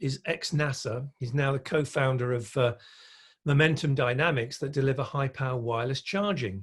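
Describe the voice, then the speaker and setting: Recorded very cleanly against a silent background, a man speaks at a moderate pace in a fairly high, somewhat breathy voice. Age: 60s. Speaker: electric vehicle industry speaker and consultant. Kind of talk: podcast interview. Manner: hesitant, many fillers and repetitions.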